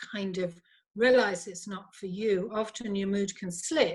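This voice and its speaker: At a very slow pace, a woman speaks at medium pitch with a somewhat breathy voice and fairly even intonation on a very clean recording with a silent background. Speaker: psychologist, former lawyer. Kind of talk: interview conversation.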